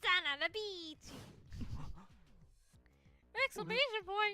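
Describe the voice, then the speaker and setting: With music in the background, a put-on character voice at extremely high pitch moves at a fairly slow pace. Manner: over-the-top, shouting.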